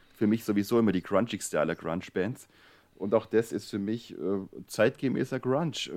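With a dark, mellow tone and a fairly low pitch, a man delivers his words at a moderate speed. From Swabia. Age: 30s. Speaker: newspaper editor, co-host. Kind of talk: casual chat.

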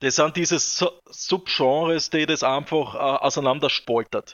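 With fairly even intonation, a man speaks in a normal speaking voice at a fairly high pitch. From southern Styria, Austria. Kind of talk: casual interview chat.

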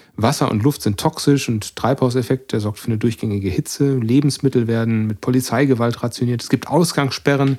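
Dark and mellow in tone, a man's medium-pitched voice moves at a fairly quick pace with hardly any pauses. His intonation stays fairly even on a very clean recording with a silent background. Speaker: podcast co-host. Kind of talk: casual chat.

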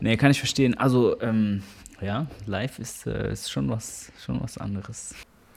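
Vocal fry runs through this man's fairly low voice. He speaks at a fairly slow pace. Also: lively intonation. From Germany, Karlsruhe area (Baden). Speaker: musician and percussionist. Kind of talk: interview.

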